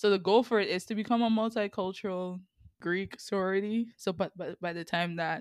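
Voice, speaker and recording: In a strong Sint Maarten accent, a woman talks at a moderate pace with ordinary pitch variation. The recording is very clean and dry, close and without echo, with a silent background. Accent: strong Sint Maarten Caribbean. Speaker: university student and podcaster. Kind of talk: casual conversational interview.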